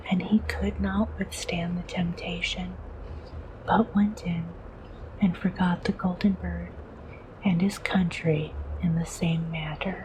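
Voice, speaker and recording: Soft-spoken and at a fairly slow pace, a woman talks with long, frequent pauses amid noticeable background noise. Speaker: VTuber. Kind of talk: bedtime story reading.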